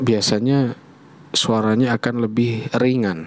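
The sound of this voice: Noticeable background noise sits behind a man at medium pitch. He speaks at a very slow pace.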